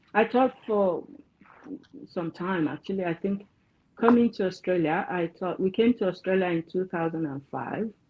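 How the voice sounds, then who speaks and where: A woman speaks with a Yoruba accent at medium pitch. She leaves long, frequent pauses. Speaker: counselor. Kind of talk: interview.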